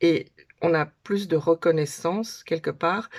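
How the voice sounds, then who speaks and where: At a fairly slow pace, a woman speaks at a fairly low pitch with ordinary pitch variation. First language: Dutch (speaking French). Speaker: conference interpreter. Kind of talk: casual talk to camera. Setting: home, daughters' bedroom. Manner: hesitant, with filler sounds.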